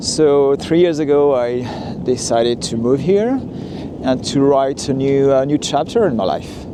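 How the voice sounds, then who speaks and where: A man with a French accent and fairly high pitch, at a fairly slow pace, with ordinary pitch variation and noticeable background noise. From France, Lyon. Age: 40s. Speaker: walking tour vlogger. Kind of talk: narrated walking tour. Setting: outdoors, walking. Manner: hesitant, many fillers.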